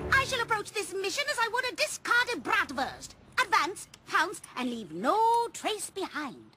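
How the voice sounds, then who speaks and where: An extremely high-pitched, cartoonish character voice moves at a moderate pace while faint music plays in the background. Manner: precise, formal, professorial.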